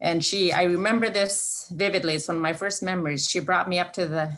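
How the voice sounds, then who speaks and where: A woman speaks at a moderate pace, her pitch fairly low with ordinary variation. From southwest Alaska (Bethel). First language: Yup'ik. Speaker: Alaska Native corporation leader. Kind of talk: presentation. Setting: video call. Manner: halting, many fillers.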